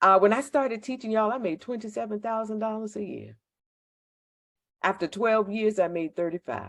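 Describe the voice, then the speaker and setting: This woman has an American accent and a fairly high pitch. She talks at a fairly quick pace with ordinary pitch variation. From Virginia, Virginia Beach/Chesapeake area. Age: 50s. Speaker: school network recruitment leader, former teacher. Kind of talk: informational presentation. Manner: animated, dramatic.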